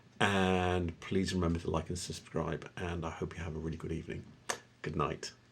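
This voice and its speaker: The speaker talks fairly quickly with monotone, flat intonation over noticeable background noise. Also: man, very deep, low pitch for a man. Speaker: antiques YouTuber. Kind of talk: casual video commentary. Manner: soft-spoken; halting.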